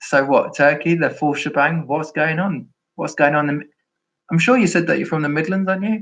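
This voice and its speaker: At a moderate pace, a man with a London accent talks in a fairly high pitch with lively intonation. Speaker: former Jehovah's Witness YouTuber. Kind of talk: live stream chat. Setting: live stream. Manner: halting.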